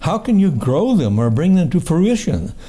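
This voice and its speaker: A man speaks at a fairly slow pace in a dark, mellow, somewhat breathy tone with very wide pitch swings. Audible room echo surrounds his voice. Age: 70s. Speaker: poet. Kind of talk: poetry reading. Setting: book launch with audience. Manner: halting.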